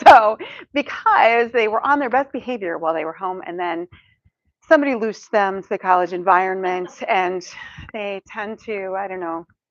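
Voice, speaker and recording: A woman's ordinary speaking voice at a medium pitch and moderate pace, with ordinary pitch variation, big swings in loudness and a quiet background. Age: 50s. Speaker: counseling professor and speaker. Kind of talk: talk to a church audience. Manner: casual, humorous delivery with many fillers.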